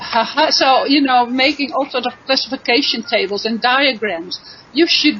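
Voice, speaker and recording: Over noticeable background noise, a woman speaks at a moderate pace in a high voice with lively intonation. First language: not English. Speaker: chemistry teacher. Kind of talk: online panel discussion.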